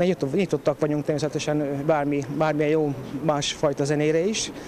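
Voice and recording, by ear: A man speaks at a fairly high pitch with little pitch movement. His tone is slightly mellow, and faint background noise is present.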